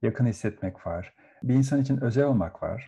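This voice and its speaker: A man's dark, mellow, somewhat breathy voice at a fairly quick pace, with ordinary pitch variation. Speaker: psychotherapist. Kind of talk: interview.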